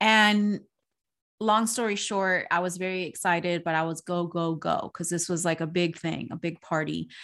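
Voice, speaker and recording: On a very clean recording with a silent background, a woman speaks at a moderate pace with a fairly low pitch and fairly even intonation. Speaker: podcast co-host. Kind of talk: casual chat. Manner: loud.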